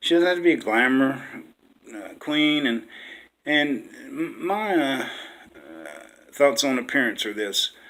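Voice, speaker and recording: At a fairly slow pace, a man talks with an American accent. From West Virginia, small rural town. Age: 60s. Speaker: dating-site profile video maker, veteran. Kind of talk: casual personal self-introduction. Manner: halting, many fillers.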